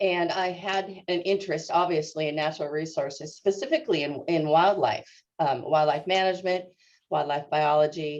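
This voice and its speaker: Speaking at a moderate pace with fairly even intonation, a woman with a West Coast US accent has a fairly low voice. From US Northwest, Seattle suburbs. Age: 60s. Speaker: natural resource extension specialist. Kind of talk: interview. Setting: video call webinar. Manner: halting, many fillers.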